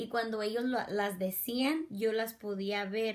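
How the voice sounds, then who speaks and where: Fairly slow speech from a woman, pitched in the middle of her range. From US (Mexican-born, raised from age two). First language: English (speaking Spanish). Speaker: education student. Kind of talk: class assignment reflection. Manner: halting, self-correcting.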